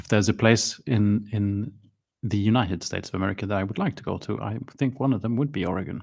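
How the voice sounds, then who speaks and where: A very fast, fairly low-pitched man with a Swedish accent, ordinary pitch variation, and a very clean recording over a silent background. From Sweden, schooled abroad in English. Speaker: miniature painting streamer. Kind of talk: live stream chat. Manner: hesitant, many fillers.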